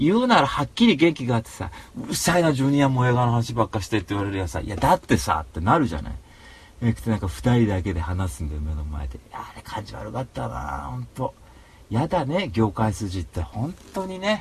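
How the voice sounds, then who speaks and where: A man's fairly low voice makes very wide pitch swings. His loudness also swings a great deal. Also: fairly quick pace. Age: 30s. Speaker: podcast host. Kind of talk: casual chat. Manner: animated.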